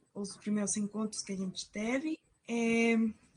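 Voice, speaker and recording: Her voice fairly high in pitch, a woman speaks with a dark, mellow tone. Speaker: student researcher presenting a project. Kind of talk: conference presentation.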